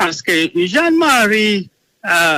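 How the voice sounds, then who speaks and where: Dry and close with no echo, a man's bright, sharp voice moves at a very slow pace with lively intonation. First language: English (speaking French). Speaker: interviewee accused in arms case. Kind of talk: interview. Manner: halting, many hesitations and repeats.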